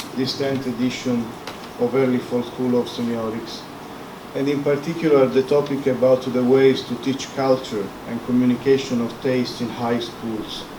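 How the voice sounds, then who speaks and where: Over noticeable background noise and audible room echo, a man with a non-native accent talks at a moderate pace, his medium-pitched voice monotone and flat. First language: Italian. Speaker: professor. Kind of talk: lecture.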